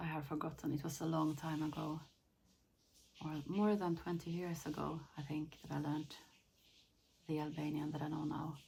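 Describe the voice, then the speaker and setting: In a Finland Swedish accent, a somewhat breathy, dark and mellow voice speaks with flat, monotone intonation and long, frequent pauses amid audible room echo. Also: woman, very deep, low pitch for a woman, moderate pace. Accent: Swedish-Finnish accent in English. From Sweden. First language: Finnish. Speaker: lifestyle vlogger. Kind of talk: casual vlog talk. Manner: halting, repeats words.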